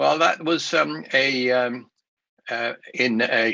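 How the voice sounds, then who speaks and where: With a Swedish accent, a man at a medium pitch swings his voice very widely, his tone bright and sharp. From Sweden. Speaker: investment speaker. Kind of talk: conference presentation. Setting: remote recorded talk for a virtual show. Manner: halting, many fillers and restarts.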